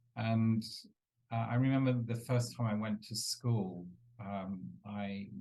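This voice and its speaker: In a London accent, a man speaks very slowly at medium pitch, with fairly even intonation. His tone is dark and mellow, and he takes long, frequent pauses. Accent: British English, London. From England, East London. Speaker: entrepreneur and business coach. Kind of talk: interview. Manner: hesitant, many fillers.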